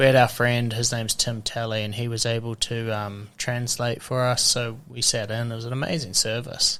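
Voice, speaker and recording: A man with a New Zealand accent talks at a moderate pace and medium pitch, barely pausing. His intonation is monotone and flat. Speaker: podcast host. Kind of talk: casual interview. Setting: in-person podcast with microphones.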